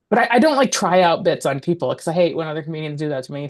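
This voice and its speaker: In an Alaskan accent, a woman with a very deep, low pitch talks at a very fast pace. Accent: American (Alaska). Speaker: comedian and actor. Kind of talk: casual interview. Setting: podcast. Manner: loud.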